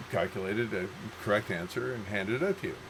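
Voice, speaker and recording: Amid noticeable background noise, a man with a Canadian accent talks at a fairly quick pace, his pitch swinging very widely. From Canada, Toronto. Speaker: writer, podcast host. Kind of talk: casual chat.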